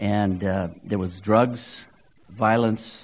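An ordinary speaking voice with an American accent and fairly even intonation. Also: man. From Southern California. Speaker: guest preacher. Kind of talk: sermon.

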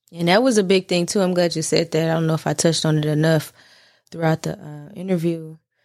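On a very clean recording with a silent background, a woman talks at a very fast pace with fairly even intonation. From US South, North Nashville, Tennessee. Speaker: singer. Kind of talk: casual chat.

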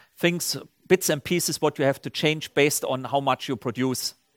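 A man speaks with a German accent at a fairly high pitch. The sound is dry and close with no echo, on a very clean recording with a silent background. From Germany, Saarland region. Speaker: company CEO. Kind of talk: on-stage interview. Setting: stage with audience.

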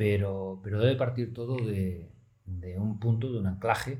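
A fairly low, dark, mellow, somewhat breathy voice belongs to a man who speaks at a fairly slow pace with ordinary pitch variation amid audible room echo. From Oviedo, Asturias, Spain. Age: 40s. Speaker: media executive. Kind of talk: interview.

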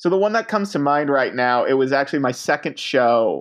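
An ordinary speaking voice with an American accent shows ordinary pitch variation. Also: man. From Texas. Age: 20s. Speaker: comedian. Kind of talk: casual chat. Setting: phone call.

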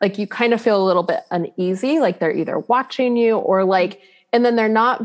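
A woman with an ordinary speaking voice, ordinary pitch variation and a moderate pace. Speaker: spiritual medium and teacher. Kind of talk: casual interview chat.

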